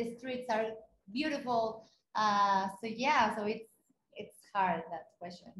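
Very slow speech from a woman with a Spanish accent, fairly high in pitch, with ordinary pitch variation and big swings in loudness. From Mexico City. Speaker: runner and content creator. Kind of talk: interview. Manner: halting.

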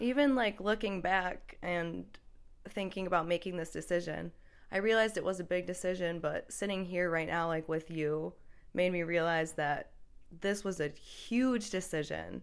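Someone with an American accent talks at a moderate pace with ordinary pitch variation. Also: woman, fairly low pitch for a woman. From US Midwest (Michigan). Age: 20s. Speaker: university student. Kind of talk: casual interview. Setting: in person.

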